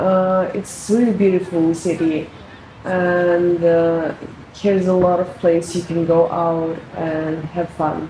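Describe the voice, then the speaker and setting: Monotone, flat intonation comes at a very slow pace amid noticeable background noise and audible room echo. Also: woman, fairly low pitch for a woman. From Russia. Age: 20s. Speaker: international student. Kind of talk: interview.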